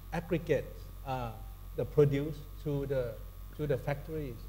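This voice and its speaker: Speaking at a fairly slow pace, a man with a Thai accent has a dark, mellow tone. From Thailand. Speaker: corporate sustainability executive, panelist. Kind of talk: panel discussion. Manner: halting, many fillers and restarts.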